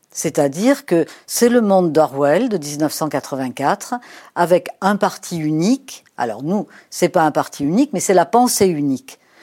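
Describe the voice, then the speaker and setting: A woman speaks very slowly in a dark, mellow tone, her pitch swinging very widely. The recording is very clean, with a silent background. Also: fairly low pitch for a woman. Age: 70s. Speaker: sociologist. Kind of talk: interview. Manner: hesitant, many fillers.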